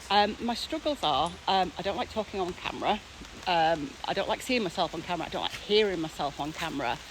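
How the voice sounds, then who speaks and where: A woman at a medium pitch talks at a fairly quick pace with lively intonation over noticeable background noise. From Teesside, England. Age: 40s. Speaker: academic. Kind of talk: casual talk to camera. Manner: fast.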